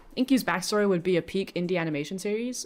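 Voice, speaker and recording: A woman speaks in a British accent at a medium pitch with lively intonation. The recording is very clean with a silent background. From Britain. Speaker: vtuber streamer. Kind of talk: casual live stream chat. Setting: live stream.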